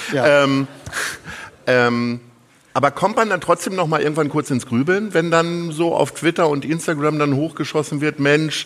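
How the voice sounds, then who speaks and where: A man speaks at a moderate pace with a fairly high pitch and ordinary pitch variation. Background noise is noticeable. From Lower Saxony, northern Germany. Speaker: event host and interviewer. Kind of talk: onstage interview. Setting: theatre stage with audience.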